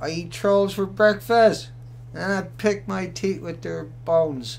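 A man's voice over light background noise. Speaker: live stream host. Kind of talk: casual commentary live stream. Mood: combative, confident. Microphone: webcam.

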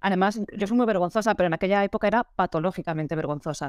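A woman talks at a very fast pace with ordinary pitch variation, her voice dry with no echo against a quiet background. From Valencia, Spain; Spain. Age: 30s. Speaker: photographer; interviewee. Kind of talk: interview. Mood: animated, friendly. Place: home room. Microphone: video call.

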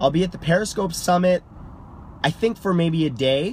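Ordinary pitch variation runs through a man's voice. The sound is dry with no echo, over light background noise. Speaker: livestreamer. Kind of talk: casual vlog chat. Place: car. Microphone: phone near.

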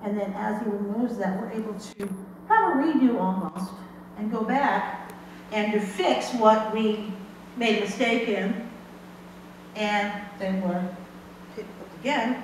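Amid strong room echo and light background noise, a woman speaks at a fairly slow pace with fairly even intonation and long, frequent pauses. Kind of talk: sermon. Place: church. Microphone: camera far.

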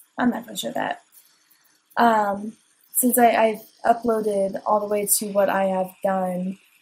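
Somewhat breathy and fairly slow, the voice keeps a fairly even intonation while its loudness swings widely between long, frequent pauses. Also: woman, medium pitch for a woman. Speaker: gaming video creator. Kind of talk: casual gameplay commentary. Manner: low-energy, subdued; hesitant, many fillers.

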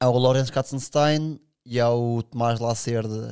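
The background is quiet. A man talks at a fairly slow pace with fairly even intonation. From Sintra, Portugal; Portugal. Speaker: big wave surfer; podcast guest. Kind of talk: casual chat. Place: studio. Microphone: studio mic.

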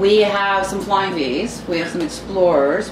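Noticeable noise behind fairly slow speech. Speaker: music interviewer. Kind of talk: casual interview. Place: home room.

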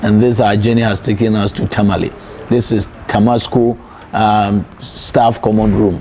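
A man with a fairly low pitch speaks in a monotone, flat intonation at very even loudness, with light background noise. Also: moderate pace. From Ghana. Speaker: sports interviewer. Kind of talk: interview. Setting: staff common room of a school. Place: home room. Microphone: lapel.

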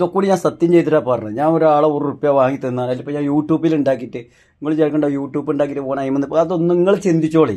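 The man's voice sits fairly high in pitch and carries a dark, mellow tone. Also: ordinary pitch variation. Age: 40s. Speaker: vlogger, coconut climber. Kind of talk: emotional monologue.

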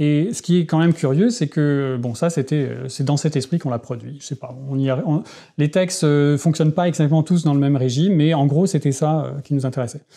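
At a fairly quick pace, a man with a fairly high pitch speaks in a dark, mellow, somewhat breathy tone with ordinary pitch variation. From France (childhood in Tehran, Iran). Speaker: philosopher; interviewee. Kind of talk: interview; interview answer. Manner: halting, many hesitations. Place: home room. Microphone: lapel.

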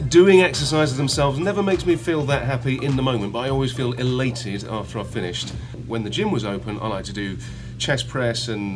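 Noticeable background noise sits under a man talking at a fairly quick pace. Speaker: actor interviewee. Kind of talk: interview answer. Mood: relaxed, playful. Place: home room. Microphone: phone near.

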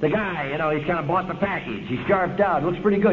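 Noticeable background noise sits behind a man talking in an American accent. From Los Angeles, US West Coast. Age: 50s. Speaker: AA speaker. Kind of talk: recovery talk. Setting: stage with audience. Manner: animated. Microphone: old recording.

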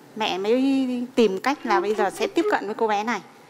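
Against noticeable background noise, a woman with a high pitch and lively intonation talks at a fairly slow pace. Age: 40s. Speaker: mother-in-law on a family talk show; guest. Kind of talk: TV talk show interview. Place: studio. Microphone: headset.

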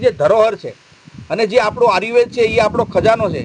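Noticeable background noise sits under a man's voice, which shows ordinary pitch variation. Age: 50s. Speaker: ascetic monk and ayurvedic healer. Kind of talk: interview. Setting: outdoor health camp at a shrine.

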